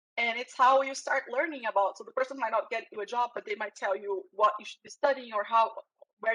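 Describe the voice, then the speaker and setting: A woman speaks at a very fast pace in a fairly high pitch with ordinary pitch variation. Her tone is bright and sharp, and the sound is dry and close with no echo. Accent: Brazilian. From Brazil. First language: Portuguese. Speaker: security professional. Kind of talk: interview. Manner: halting, repeats words.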